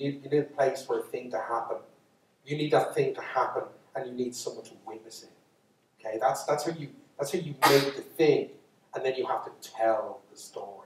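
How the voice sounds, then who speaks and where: A man with a Dublin accent at a fairly quick pace, with big swings in loudness and long, frequent pauses. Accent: Irish (Dublin). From Ireland. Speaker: storyteller. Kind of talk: storytelling lecture to live audience. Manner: casual, unscripted, with false starts.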